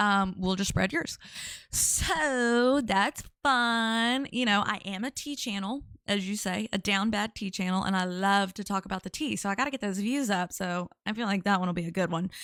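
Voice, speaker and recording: Heard in a very clean recording with a silent background, a woman with a Louisiana accent speaks at a moderate pace and a medium pitch with ordinary pitch variation. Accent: Louisiana Southern. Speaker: live-stream commentary streamer. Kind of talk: casual live-stream chat. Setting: live stream.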